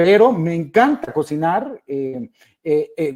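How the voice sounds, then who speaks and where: In a Guatemalan accent, a man with a high pitch and a dark, mellow tone uses lively intonation, heard in a dry, close sound with no echo. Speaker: innovation speaker. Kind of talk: webinar presentation. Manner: hesitant, many fillers.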